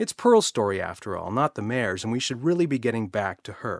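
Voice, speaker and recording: The recording is very clean, with a silent background. A man with a normal speaking voice talks at a medium pitch and a fairly quick pace, his intonation lively. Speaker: storyteller. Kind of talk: children's audiobook narration.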